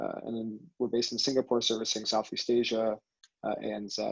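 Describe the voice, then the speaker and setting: A man with an American accent speaks at a fairly quick pace. The sound is dry and close, with no echo. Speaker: venture capital director. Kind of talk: panel discussion.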